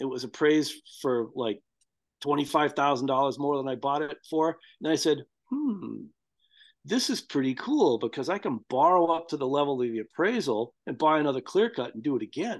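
Speaking at a moderate pace with lively intonation, a man with an American accent has a fairly high pitch and a plain, everyday voice. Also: quiet background. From US, Boston suburbs, Massachusetts. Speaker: farmer and tree crop breeder. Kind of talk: casual interview.

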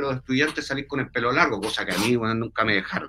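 A man in a Chilean accent, bright and sharp in tone, at a very fast pace. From Chile, Santiago. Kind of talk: interview.

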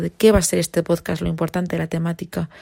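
A woman speaks at a fairly low pitch with a dark, mellow tone. Her voice is somewhat breathy. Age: 20s. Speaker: podcaster, university student. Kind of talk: casual monologue. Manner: spontaneous, unscripted.

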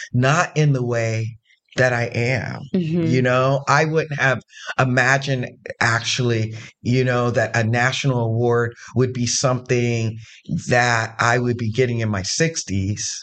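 A man with an American accent speaks in an ordinary speaking voice at a fairly slow pace, his intonation fairly even. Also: medium pitch for a man. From Zanesville, Ohio. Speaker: gender performer and community activist. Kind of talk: interview conversation.

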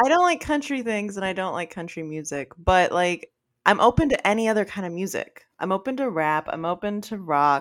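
A woman with an ordinary speaking voice, pitched in the medium range. She talks at a fairly quick pace with lively intonation. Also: very clean recording, silent background. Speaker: podcast co-host. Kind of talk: casual chat.

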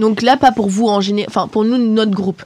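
A woman with an unremarkable speaking voice talks at a fairly quick pace and a fairly high pitch. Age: 20s. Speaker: student podcast host. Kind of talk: casual chat among friends.

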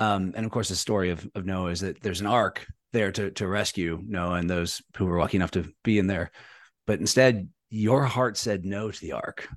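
A man's normal speaking voice, fairly low in pitch, with fairly even intonation, a moderate pace and a quiet background. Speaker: podcast host and anthropologist. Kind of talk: interview.

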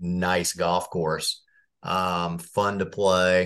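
The background is quiet. A man speaks in an American accent. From Indiana, US Midwest. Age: 50s. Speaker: golf professional. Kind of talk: casual chat.

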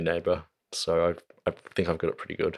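A man talking very fast with an Australian accent. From Australia, Central Coast NSW. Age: young. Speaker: musician. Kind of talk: casual chat. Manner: halting.

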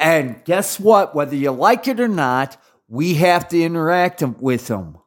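Stern tone with lively intonation, fairly slow pace, very clean recording over a silent background. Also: man, high pitch for a man. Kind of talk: angry religious rant, scolding warning to fellow traditionalist Catholics. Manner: stern, impassioned, hectoring, with repeated sarcastic asides and fillers.

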